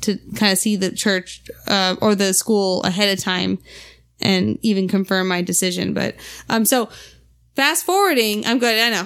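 A woman with an ordinary speaking voice talks at a medium pitch and moderate pace, keeping her intonation fairly even. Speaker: wife and podcast guest. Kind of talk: casual chat.

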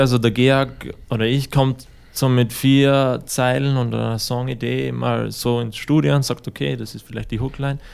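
Speaking with a plain, everyday voice, a man holds a medium pitch, moderate pace and fairly even intonation. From Austria, Styria. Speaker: musician. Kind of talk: interview. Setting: studio.

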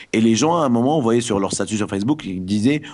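Here a man speaks with a fairly low pitch. His intonation is lively. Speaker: guest from Tunisia discussing the revolution. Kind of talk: casual chat. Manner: halting.

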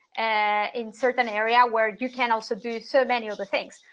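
In a Spanish accent, a woman speaks at a moderate pace in a high voice. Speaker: international SEO consultant. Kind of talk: interview. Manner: frequent word repetitions.

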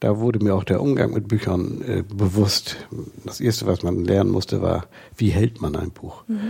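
Using a fairly low pitch with vocal fry and a dark, mellow tone, a man speaks at a moderate pace with fairly even intonation. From northern Germany, Lower Saxony coast. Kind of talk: interview. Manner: halting.

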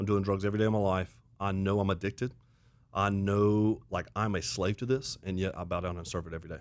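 At a very fast pace, a man with a Southern US accent speaks in a fairly low pitch on a very clean recording with a silent background. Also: fairly even intonation. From US South (Auburn, Alabama). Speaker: pastor. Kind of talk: casual chat.

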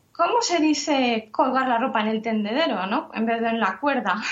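This woman has a plain, everyday voice, talking at a moderate pace with ordinary pitch variation. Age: 30s. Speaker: translator and mother. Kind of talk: interview.

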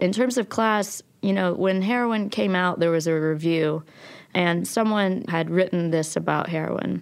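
A woman's fairly low voice in an Appalachian accent, fairly slow and very even in loudness, with ordinary pitch variation, on a very clean recording with a silent background. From West Virginia, Logan. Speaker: documentary filmmaker. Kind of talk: interview.

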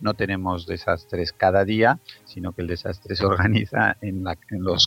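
Using an ordinary speaking voice, a man talks at a fairly low pitch with fairly even intonation. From Spain, Zaragoza. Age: 50s. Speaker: pediatrician. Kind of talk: interview.

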